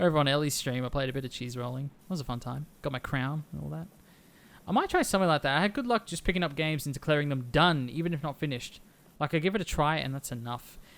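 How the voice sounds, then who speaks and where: This man talks at a very fast pace, with ordinary pitch variation. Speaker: gaming streamer. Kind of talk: casual chat. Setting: live stream. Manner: animated.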